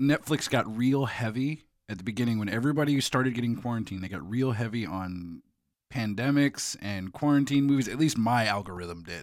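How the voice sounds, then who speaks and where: This man has a plain, everyday voice, a medium pitch and a fairly quick pace. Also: ordinary pitch variation, very clean recording, silent background. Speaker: podcast host. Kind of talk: casual chat. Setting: studio.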